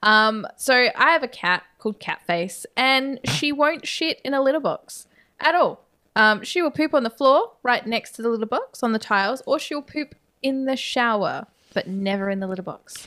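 A woman projects a raised voice at a high pitch with a bright, sharp tone. She keeps a moderate pace on a very clean recording with a silent background. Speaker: podcast co-host. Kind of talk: casual chat, horror movie discussion.

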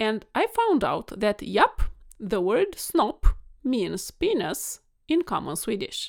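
A woman speaks with a Romanian accent. Her pace is very slow. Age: 40s. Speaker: podcast host and vet, weight coach. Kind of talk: monologue podcast solo talk. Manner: animated, warm, passionate.

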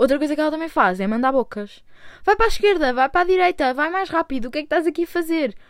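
A woman with a Lisbon accent speaks very fast in a high voice, her pitch swinging very widely. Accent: European Portuguese, Lisbon. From Portugal, Lisbon (Chelas). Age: 20s. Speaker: podcaster. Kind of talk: casual monologue. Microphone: new own microphone.

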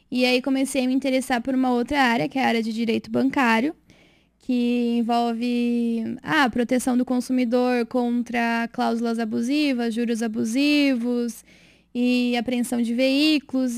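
In a very clean recording with a silent background, a woman with a high pitch talks at a moderate pace in a monotone, flat intonation. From interior of São Paulo state (Rio Claro). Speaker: lawyer. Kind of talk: casual interview.

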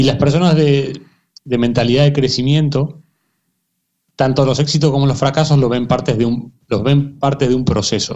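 A man with a plain, everyday voice, fairly high in pitch, at a moderate pace with fairly even intonation and very even loudness. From Argentina, emigrated to Spain at 15. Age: 30s. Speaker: football coach and performance consultant. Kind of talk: interview.

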